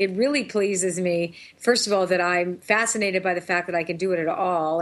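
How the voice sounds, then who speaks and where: Fairly even in intonation, a woman with an ordinary speaking voice talks at a fairly quick pace and a fairly low pitch. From Toronto, Canada. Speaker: intuitive, author and singer. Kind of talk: interview chat.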